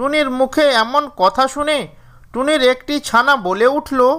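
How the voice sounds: Slowly, a woman speaks at a high pitch. Her tone is fairly bright. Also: ordinary pitch variation.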